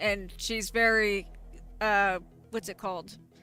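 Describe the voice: Over music in the background, a woman speaks fairly slowly at a fairly high pitch with monotone, flat intonation.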